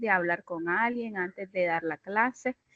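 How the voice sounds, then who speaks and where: At a fairly slow pace with ordinary pitch variation, the voice has a dry, close sound with no echo. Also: woman. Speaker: teacher in a course for educators. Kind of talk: casual class discussion.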